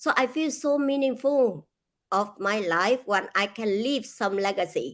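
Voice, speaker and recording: A woman's fairly high voice with lively intonation and very even loudness, on a very clean recording with a silent background. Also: fairly slow pace. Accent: Vietnamese. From Vietnam. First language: Vietnamese. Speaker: author and speaker. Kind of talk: interview.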